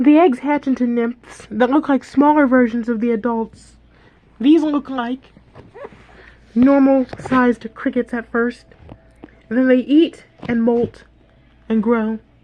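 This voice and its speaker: A woman with a high-pitched voice speaks at a fairly slow pace, with fairly even intonation, long, frequent pauses and noticeable background noise. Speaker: YouTuber presenting own fantasy world. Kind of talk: reading aloud with commentary. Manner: casual.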